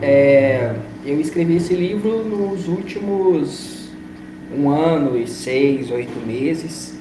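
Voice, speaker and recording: Over noticeable background noise and audible room echo, a man with a fairly high pitch speaks with lively intonation. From Brazil, Minas Gerais (Belo Horizonte). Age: 20s. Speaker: writer and lawyer. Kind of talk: interview.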